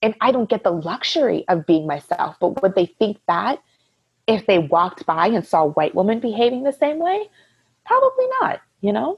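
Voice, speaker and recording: Loud and at a moderate pace, a woman with an American accent speaks in a fairly high pitch with very wide pitch swings. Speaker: podcast guest. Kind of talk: casual chat. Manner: talkative.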